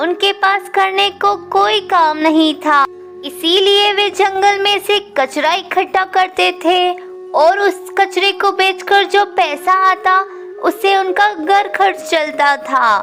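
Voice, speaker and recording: A cartoonish character voice at an extremely high pitch and fairly slow pace, over clear background noise. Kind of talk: children's moral story narration.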